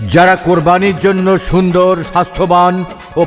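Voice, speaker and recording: With music in the background, a man talks at a high pitch. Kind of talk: loudspeaker market announcement. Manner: loud, energetic.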